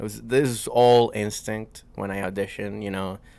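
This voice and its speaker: A man speaks with a Venezuelan accent. His intonation stays fairly even. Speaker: comedian. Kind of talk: casual chat.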